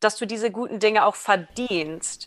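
A woman talks fairly slowly, her voice pitched fairly high. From international upbringing, New York and Berlin. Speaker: behavioral genetics researcher. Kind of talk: casual interview. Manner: halting, many fillers.

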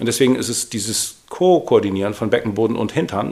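Lively in intonation, a man with a normal speaking voice talks at a medium pitch and moderate pace. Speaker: podcast co-host, fitness trainer. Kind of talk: casual chat.

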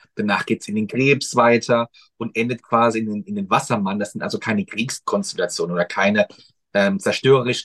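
Recorded with a dry, close sound and no echo, a man talks in an unremarkable speaking voice at a medium pitch with ordinary pitch variation. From Mannheim, Germany. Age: 30s. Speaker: astrologer. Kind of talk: casual chat. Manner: lively.

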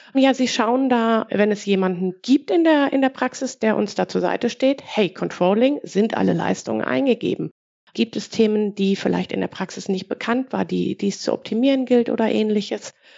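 An unremarkable speaking voice from a woman, pitched fairly high, moderate in pace and ordinary in pitch variation. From Ruhr area, Germany. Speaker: dental billing department head. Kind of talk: podcast interview.

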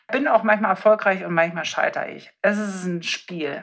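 A woman talks at a moderate pace. Her pitch is medium with ordinary variation. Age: 30s. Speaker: dentist. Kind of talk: casual interview. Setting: in-person recording in host's medical practice. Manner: animated.

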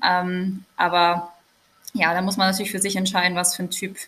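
Her voice is a plain, everyday voice, a woman's at medium pitch, moving at a moderate pace. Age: 20s. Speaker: social worker. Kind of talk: casual chat.

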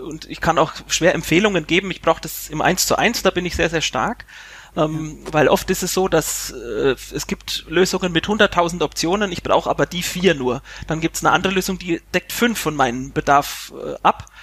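At a moderate pace, a man talks with a high pitch. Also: ordinary pitch variation. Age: 30s. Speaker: IT administrator and tax firm manager. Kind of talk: podcast interview.

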